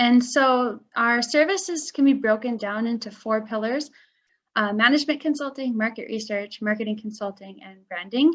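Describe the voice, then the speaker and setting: Against a quiet background, a woman with a Midwestern American accent talks at a moderate pace. Her pitch is fairly high, with ordinary variation. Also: big swings in loudness. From US Midwest. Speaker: marketing director. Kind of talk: webinar presentation.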